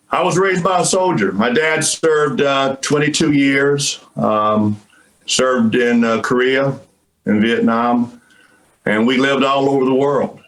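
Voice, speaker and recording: In a normal speaking voice, the delivery is fairly slow, with lively intonation and very even loudness. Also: man, medium pitch for a man. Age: 60s. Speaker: retired army colonel, professor. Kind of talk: interview.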